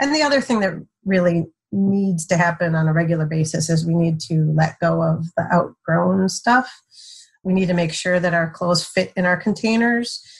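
A woman speaks at a moderate pace, somewhat breathy, with ordinary pitch variation. Her loudness stays very even. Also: fairly low pitch for a woman. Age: 50s. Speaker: mother of seven. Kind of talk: casual chat.

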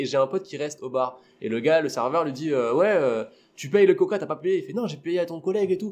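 A man's very fast speech at a fairly high pitch. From La Réunion. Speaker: stand-up comedian. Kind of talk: casual chat.

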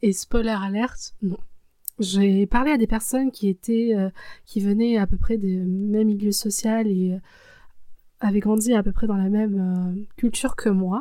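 A woman's dark, mellow voice at medium pitch, fairly slow, with fairly even intonation. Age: 20s. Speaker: personal storytelling podcaster. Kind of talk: personal testimony, casual spoken commentary. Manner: hesitant, with frequent fillers.

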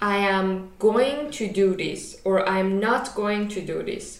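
Very slow speech over noticeable background noise. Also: woman. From Iran. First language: Persian. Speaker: podcast co-host, master's student. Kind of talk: casual chat.

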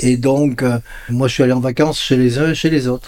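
This man's voice is dark and mellow, with a fairly high pitch. He speaks at a moderate pace. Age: 70s. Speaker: son of a resistance hero, retired civil servant. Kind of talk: interview.

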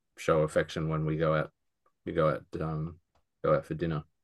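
A man with an Australian accent speaks at a fairly slow pace in a very deep, low voice against a quiet background. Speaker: podcast co-host. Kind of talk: casual chat. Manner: halting, with many repeated words and fillers.

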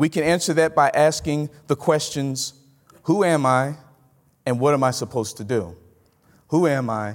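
This man has a Southern US accent and a fairly high pitch. He speaks at a moderate pace. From Mississippi. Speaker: pastor. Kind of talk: conference talk. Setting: stage with audience.

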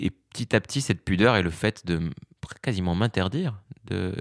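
In a dry, close recording with no echo and a very clean, silent background, a man speaks at a very deep, low pitch. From Morocco (Fès). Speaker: comedian. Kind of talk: interview conversation. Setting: theatre dressing room.

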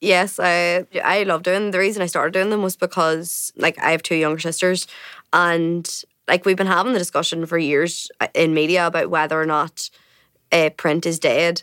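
A woman with a Northern Irish accent speaks at a fairly low pitch in a monotone, flat way, her loudness very even. The sound is dry and close, with no echo. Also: moderate pace. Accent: Northern Irish (Tyrone). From Northern Ireland, County Tyrone. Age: 20s. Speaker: journalist. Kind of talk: casual chat. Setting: studio.

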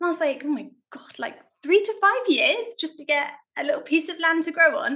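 A woman's raised, projected voice in a South London accent, bright and sharp in tone, with lively intonation. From South London, England. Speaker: allotment gardener. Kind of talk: casual chat.

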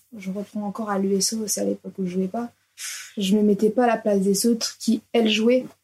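At a fairly quick pace, a woman of medium pitch speaks in a monotone, flat intonation. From France, Orléans. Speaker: professional footballer. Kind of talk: interview. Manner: casual, hesitant.

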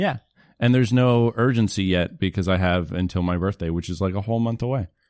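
A man with a normal speaking voice talks at a fairly quick pace. His pitch is fairly low, with ordinary pitch variation. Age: 20s. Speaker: comedian. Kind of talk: casual chat.

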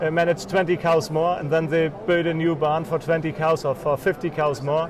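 A man speaks fairly slowly with a German accent and a fairly high pitch. Noticeable background noise runs underneath. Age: 40s. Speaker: crossbreeding genetics company owner, former dairy farmer. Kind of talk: interview. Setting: trade fair. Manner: halting.

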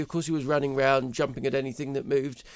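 Speaking at a very fast pace, a man with a British accent uses a fairly high pitch. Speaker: commentator. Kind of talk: angry rant, indignant tirade against bank and cancel culture. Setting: studio. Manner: indignant, emphatic, scornful.

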